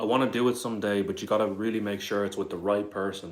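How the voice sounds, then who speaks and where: In a southern Irish accent, a man with a fairly low pitch speaks in a flat monotone at a very fast pace, with audible room echo. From Ireland, Dublin area. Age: 20s. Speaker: live streamer. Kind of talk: casual chat. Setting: live stream on camera. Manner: casual.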